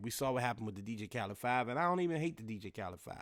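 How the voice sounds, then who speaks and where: On a very clean recording with a silent background, a man speaks very fast. His tone is animated, with ordinary pitch variation. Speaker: podcast host. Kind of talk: casual solo podcast talk.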